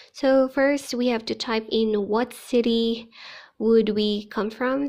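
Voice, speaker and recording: A woman with a Filipino accent speaks at a fairly high pitch with fairly even intonation against a quiet background. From Philippines, Ilocano-speaking region. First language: Ilocano. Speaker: teacher and vlogger. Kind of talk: vlog tutorial.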